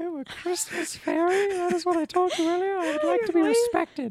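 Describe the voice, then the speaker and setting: Using a put-on character voice, a woman speaks at a fairly quick pace and an extremely high pitch. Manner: indignant.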